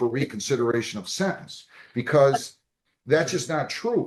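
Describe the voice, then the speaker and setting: A man using an unremarkable speaking voice with a fairly high pitch talks at a moderate pace. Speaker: judge. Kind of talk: courtroom hearing. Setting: courtroom.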